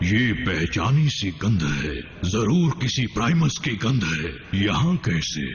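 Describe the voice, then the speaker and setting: Amid clear background noise, a man uses a put-on character voice with a fairly low pitch at a fairly slow pace. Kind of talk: formal archaic Hindi. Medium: fan dub. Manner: imperious, contemptuous.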